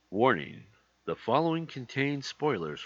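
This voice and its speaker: A man performs in a put-on character voice. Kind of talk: formal. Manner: serious warning.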